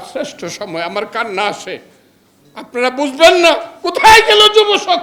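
This man talks in an animated tone with lively intonation. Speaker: lawyer and opposition politician. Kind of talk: political speech. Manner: animated, fiery.

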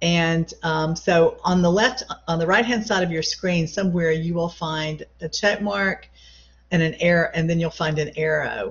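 A woman speaks in a somewhat breathy, fairly low voice. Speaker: college English instructor. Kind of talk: lecture. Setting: video call.

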